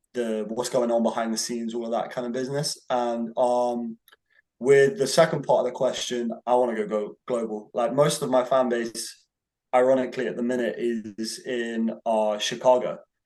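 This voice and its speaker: A man with a British accent at a moderate pace, medium pitch and fairly even intonation. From England, Bristol. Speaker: independent rapper. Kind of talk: casual interview. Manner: hesitant, with many fillers.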